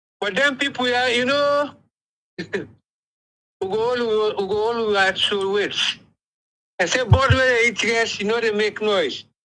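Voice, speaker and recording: Raised, projected male voice with a bright, sharp tone and an extremely high pitch. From Sierra Leone. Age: 70s. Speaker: caller. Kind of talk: call-in commentary. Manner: impassioned, stammering.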